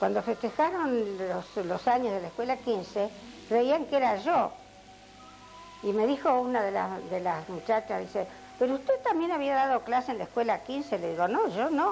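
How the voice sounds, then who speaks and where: A woman speaks with fairly high pitch and lively intonation at a moderate pace. Music plays in the background. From Argentina, Azul (Buenos Aires province). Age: 80s+. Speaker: retired schoolteacher. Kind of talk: oral history interview. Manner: halting, with many fillers.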